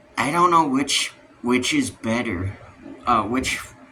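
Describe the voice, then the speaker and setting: There is noticeable background noise as a man with an American accent talks at a fairly slow pace. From US West, Utah. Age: 18. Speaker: youtuber. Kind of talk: casual rant to camera. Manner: halting, many fillers.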